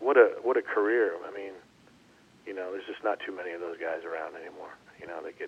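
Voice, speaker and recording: A man's very fast speech with big swings in loudness and long, frequent pauses, over noticeable background noise. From Canada. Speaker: former baseball player. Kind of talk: casual interview. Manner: animated.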